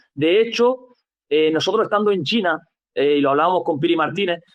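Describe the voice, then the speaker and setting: A man talks at a high pitch. He keeps a moderate pace. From Andalusia, Spain. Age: young. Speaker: football coach. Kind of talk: interview answer.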